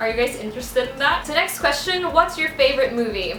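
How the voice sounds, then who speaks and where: A woman with a high pitch raises and projects her voice amid noticeable background noise and audible room echo. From Philippines. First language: Bisaya (Cebuano). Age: 20s. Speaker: beauty and hair YouTuber. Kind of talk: Q&A vlog, casual talk to camera.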